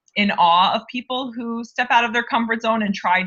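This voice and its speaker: A woman speaks with a New York accent at a moderate pace. Her intonation stays fairly even. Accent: American (New York). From upstate New York (Albany). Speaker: HR director. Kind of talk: interview.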